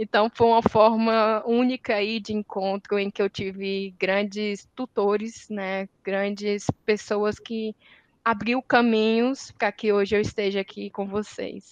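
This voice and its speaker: At a very slow pace, a woman talks in a medium pitch with monotone, flat intonation, the sound dry and close with no echo. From Northeast Brazil, Ceará. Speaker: environmental engineer, industry sustainability manager. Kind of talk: panel discussion. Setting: academic symposium round table.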